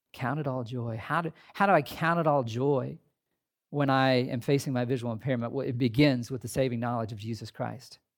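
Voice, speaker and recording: In a very clean recording with a silent background, a man with an American accent speaks in a normal speaking voice at medium pitch with ordinary pitch variation. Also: fairly quick pace. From US Midwest, southern Indiana. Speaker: pastor. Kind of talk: sermon. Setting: chapel with audience.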